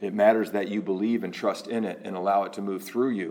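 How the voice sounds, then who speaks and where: Using a normal speaking voice, a man talks at a moderate pace and a fairly low pitch with fairly even intonation. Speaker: spiritual teacher giving a talk and leading a meditation. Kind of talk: spiritual talk followed by guided meditation. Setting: recorded online address to a remote audience during the coronavirus lockdown. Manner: warm, lightly conversational in the opening talk.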